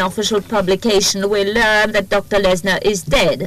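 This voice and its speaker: The woman's voice sits at a medium pitch, the sound dry with no echo and light background noise behind it. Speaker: court interpreter; trial lawyer. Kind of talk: testimony. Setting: courtroom. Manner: formal. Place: hall. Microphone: podium.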